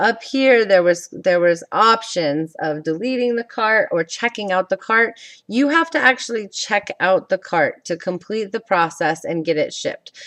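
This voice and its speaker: Dry and close with no echo, the sound captures a woman at a fairly high pitch. She speaks at a moderate pace with lively intonation. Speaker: direct sales team leader. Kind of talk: tutorial. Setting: screen recording at computer. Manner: loud; casual, halting. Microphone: new camera mic.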